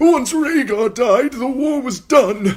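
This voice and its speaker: In a put-on character voice, a man speaks at a fairly slow pace with lively intonation and an extremely high pitch. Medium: read story. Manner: pleading, quavering.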